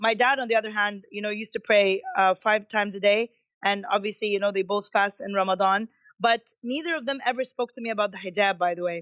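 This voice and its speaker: At a very fast pace, a woman talks in a medium pitch. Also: ordinary pitch variation. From Kuwait, Egyptian family. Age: 30s. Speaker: athlete. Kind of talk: interview. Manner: hesitant, with false starts.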